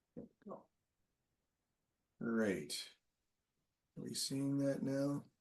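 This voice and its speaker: Delivered at a very slow pace, the speech has very wide pitch swings and long, frequent pauses. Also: man, fairly high pitch for a man. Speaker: webinar presenter, marketing. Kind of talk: webinar presentation. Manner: halting, many fillers and repetitions.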